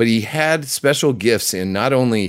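Lively intonation marks a man's plain, everyday voice at a medium pitch. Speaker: film review radio host. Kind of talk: casual film review chat. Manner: jokey, chatty.

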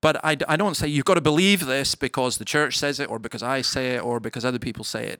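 The speech comes at a very fast pace with a Scottish accent and ordinary pitch variation. The recording is very clean, with a silent background. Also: man. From Scottish Highlands. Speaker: minister. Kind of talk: live interview. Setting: stage with audience.

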